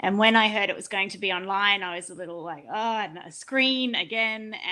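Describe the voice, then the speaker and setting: Against a quiet background, a woman with an Australian accent speaks in a bright, sharp tone with ordinary pitch variation. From Australia, rural Queensland. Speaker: panel moderator. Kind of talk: online panel discussion.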